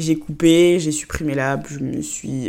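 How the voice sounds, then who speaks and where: With a dark, mellow tone, this woman's voice sits at a fairly low pitch. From Côte d'Ivoire. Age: 20s. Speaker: podcast host. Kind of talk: casual solo monologue.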